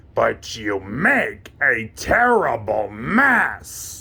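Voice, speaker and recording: A man puts on a cartoonish character voice and delivers it at a very slow pace. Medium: puppet. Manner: excitable, fretful.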